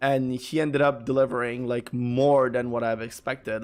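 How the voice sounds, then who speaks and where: A man with a Quebec accent at medium pitch, fairly even intonation and music in the background. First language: French. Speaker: gaming streamer. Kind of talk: casual live-stream chat. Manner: halting, many fillers and repeats.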